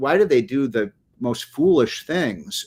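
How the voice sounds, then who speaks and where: In a very clean recording with a silent background, a man can be heard talking. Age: 60s. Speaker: economic policy commentator. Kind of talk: political interview. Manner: hesitant with many fillers.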